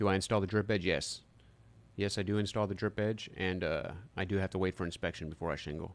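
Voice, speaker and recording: Fairly even intonation carries words delivered at a very fast pace. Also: man, very deep, low pitch for a man. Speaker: roofer live-streaming. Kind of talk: live stream Q&A chat. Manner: casual, hesitant with fillers.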